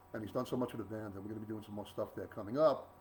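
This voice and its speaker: This is a man talking. His intonation is fairly even. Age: 60s. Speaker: blues guitarist. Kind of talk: casual talk to online audience. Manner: rambling with fillers, repetitive.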